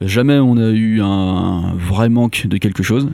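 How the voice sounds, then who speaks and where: Dark and mellow, this man's voice sits at a fairly low pitch. His intonation stays fairly even. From Brittany, France. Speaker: engineer, low-tech association cofounder. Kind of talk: interview. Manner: hesitant, many fillers.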